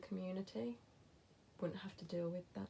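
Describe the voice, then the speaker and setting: Somewhat breathy and fairly low-pitched, a woman speaks at a moderate pace in a dark, mellow tone. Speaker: lifestyle vlogger. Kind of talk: casual chat. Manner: hesitant fillers.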